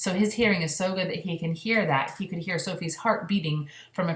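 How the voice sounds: Natural voice, reading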